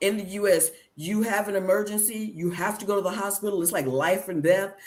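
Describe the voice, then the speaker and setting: An ordinary speaking voice, fairly quick in pace, with fairly even intonation. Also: woman, medium pitch for a woman. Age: 50s. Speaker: travel podcast host. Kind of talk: casual chat.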